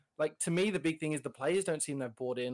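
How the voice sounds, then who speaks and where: A fairly high male voice with an Australian accent and ordinary pitch variation, very cleanly recorded against a silent background. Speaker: podcast co-host guest. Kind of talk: casual podcast chat.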